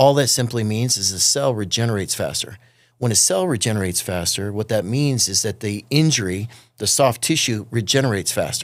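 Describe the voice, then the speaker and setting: A man talks at a fairly quick pace in an unremarkable speaking voice, medium in pitch with ordinary variation. The recording is very clean, with a silent background. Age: 50s. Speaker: physical therapist. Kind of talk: casual chat. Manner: explanatory.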